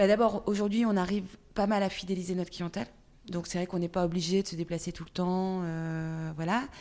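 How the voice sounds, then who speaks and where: Over a very clean recording with a silent background, a woman talks fairly quickly at medium pitch in a dark, mellow tone. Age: 40s. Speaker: entrepreneur. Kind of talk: interview. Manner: halting.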